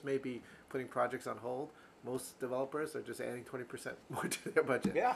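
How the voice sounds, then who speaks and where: Fairly high pitch marks this man's voice. He has an American accent. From US East Coast. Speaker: real estate podcast co-host. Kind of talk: casual chat.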